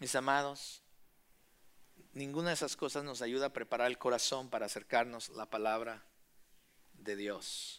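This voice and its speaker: Recorded very cleanly against a silent background, a medium-pitched man talks at a moderate pace with fairly even intonation and long, frequent pauses. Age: 40s. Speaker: pastor. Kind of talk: sermon.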